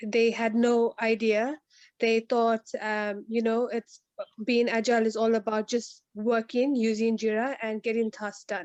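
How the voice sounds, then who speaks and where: A woman speaks at a fairly slow pace with a South African accent, her fairly high pitch held in a monotone, flat intonation. The sound is dry and close with no echo. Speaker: agile coach. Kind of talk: online meetup discussion. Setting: video call.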